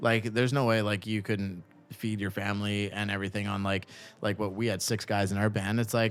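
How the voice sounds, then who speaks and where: Talking at a fairly quick pace, a man with a Canadian accent has a fairly low pitch. His intonation is monotone and flat. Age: 30s. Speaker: podcast host. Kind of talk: casual interview.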